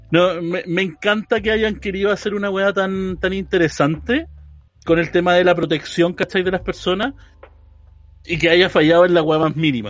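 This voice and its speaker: High in pitch, a man's voice shows ordinary pitch variation. His pace is moderate. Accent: Chilean. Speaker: podcast host. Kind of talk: casual chat. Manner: animated.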